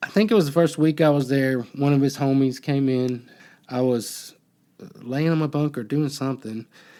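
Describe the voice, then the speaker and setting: Fairly high-pitched male voice with a dark, mellow tone and a slight Southern US accent, at a moderate pace on a very clean recording with a silent background. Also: ordinary pitch variation. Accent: slight Southern redneck. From US South, Alabama. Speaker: podcast host, former prisoner. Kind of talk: casual chat. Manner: halting.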